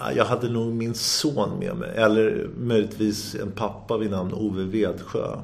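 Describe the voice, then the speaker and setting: Speaking at a fairly slow pace with hardly any pauses, a man uses a fairly low pitch and ordinary pitch variation. The room echo is audible and the background noise noticeable. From Sweden, Sundbyberg. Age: 50s. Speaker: entrepreneur. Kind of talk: interview. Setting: office. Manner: energetic; halting.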